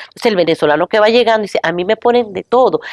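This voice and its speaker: Animated and fairly high-pitched, a woman's voice swings very widely in pitch, recorded with a dry, close sound and no echo. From Venezuela. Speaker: professor. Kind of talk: talk show discussion.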